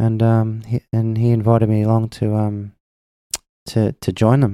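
A medium-pitched man on a very clean recording with a silent background, dry and close with no echo. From Australia, Melbourne. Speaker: singer-songwriter. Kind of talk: casual chat.

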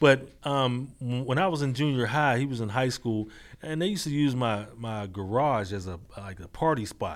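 A man speaks in a normal speaking voice with an American accent. His medium pitch carries lively intonation at a moderate pace. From Pittsburgh area, US (Braddock, Mon Valley). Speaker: youth mentor and consultant. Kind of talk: interview.

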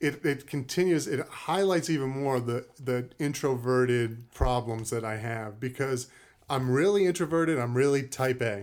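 With an American accent, a man speaks at a moderate pace in a plain, everyday voice, his medium pitch showing ordinary variation. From Cape Cod, Massachusetts. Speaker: former football player and preacher. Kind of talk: casual chat.

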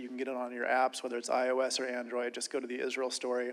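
With an American accent, a man talks at a very fast pace in a medium-pitched voice. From Ohio, US Midwest. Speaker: ministry project leader. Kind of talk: speech to conference audience.

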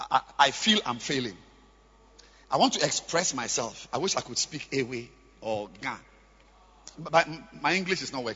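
At a moderate pace with long, frequent pauses, a man speaks with lively intonation, a bright, sharp tone and a slightly husky edge.

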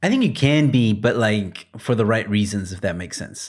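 An American-accented man speaks in an ordinary speaking voice, fairly low in pitch with ordinary pitch variation. His pace is moderate, on a very clean recording with a silent background. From Texas, US. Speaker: podcast co-host. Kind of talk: casual banter chat. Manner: laid-back, laughing.

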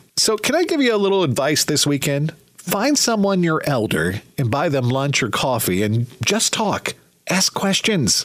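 Warm and upbeat, a man talks at a moderate pace with very wide pitch swings. Noticeable background noise runs underneath. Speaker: radio host. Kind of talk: radio DJ patter: smooth upbeat countdown announcing, song intros, plugs. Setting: radio studio. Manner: polished, warm, upbeat, brisk.

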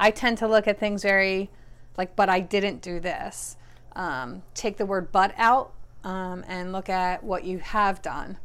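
Very clean and silent in the background, the recording features a woman at a fairly slow pace. Her voice is medium in pitch with fairly even intonation. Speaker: host's mother, weight-loss story. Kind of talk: casual chat. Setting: at home with family dogs. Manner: hesitant, many fillers.

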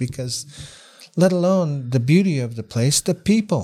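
Using an American accent, a man talks at a fairly slow pace in a somewhat breathy, dark, mellow voice with ordinary pitch variation. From Washington State and British Columbia interior. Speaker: former First Nations chief and cultural interpreter. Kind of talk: casual interview.

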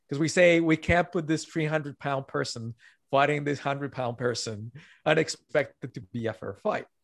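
Recorded very cleanly against a silent background with a dry, close sound and no echo, a man has an unremarkable speaking voice, a fairly high pitch, ordinary pitch variation and a moderate pace. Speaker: author. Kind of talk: casual interview.

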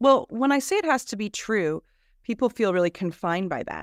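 In an ordinary speaking voice, a woman talks at a moderate pace with lively intonation. The sound is dry and close, with no echo. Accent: American. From New Jersey. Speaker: storyteller and college instructor. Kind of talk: podcast interview. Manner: laughs often while talking.

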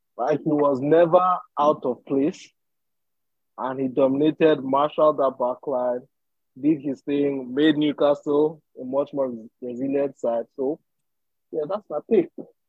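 An ordinary speaking voice from a man, fairly high in pitch, with fairly even intonation. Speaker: guest, Chelsea fan. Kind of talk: casual podcast discussion.

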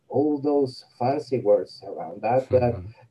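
The speaker talks fairly slowly with a Spanish accent. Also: man. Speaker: coffee blogger and content writer. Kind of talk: interview. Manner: halting, with many repetitions and fillers.

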